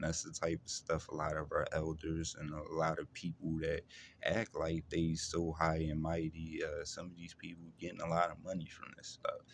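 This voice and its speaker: Big swings in loudness from a man speaking at a moderate pace. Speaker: vlogger describing personal experiences. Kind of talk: personal testimony monologue. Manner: halting, many fillers and repetitions; struggles to find words.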